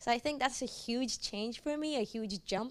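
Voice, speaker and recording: A woman talks at a moderate pace. Her voice is fairly high, with ordinary pitch variation. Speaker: university student. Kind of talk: panel discussion.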